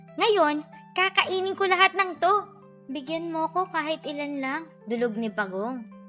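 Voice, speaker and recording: A woman speaks in a raised, projected voice at a fairly slow pace. Her pitch swings very widely, with music in the background. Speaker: voice-over artist. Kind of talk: children's read story.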